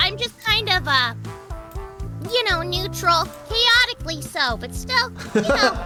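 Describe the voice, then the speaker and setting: Put-on character voice at a fairly slow pace over clear music in the background. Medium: virtual streamer. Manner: casual, offhand.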